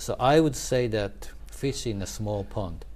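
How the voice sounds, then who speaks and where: The speaker is a man. He has a Japanese accent. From Japan (Tokyo), schooled in Paris and Switzerland. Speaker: former newspaper foreign correspondent. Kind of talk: interview conversation. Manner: halting, many false starts.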